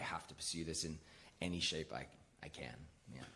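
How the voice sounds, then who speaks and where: An American accent marks this man's fairly quick speech. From Australia (Brisbane). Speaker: actor. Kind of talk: live talk show interview.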